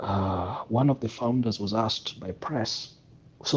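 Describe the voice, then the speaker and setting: Speaking at a fairly slow pace, a man uses a medium pitch and sounds somewhat breathy. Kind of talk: casual discussion. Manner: throat clearing.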